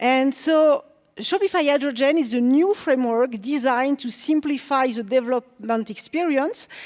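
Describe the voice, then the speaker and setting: A woman with a French accent speaks in a high voice with ordinary pitch variation. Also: moderate pace. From France. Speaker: developer relations engineer, conference speaker. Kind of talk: conference talk. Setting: stage with audience.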